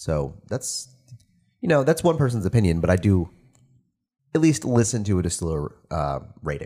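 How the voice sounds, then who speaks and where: Dark and mellow, a man's voice sits at a fairly low pitch with very wide pitch swings. He keeps a moderate pace with long, frequent pauses. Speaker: podcast host. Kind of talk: casual chat.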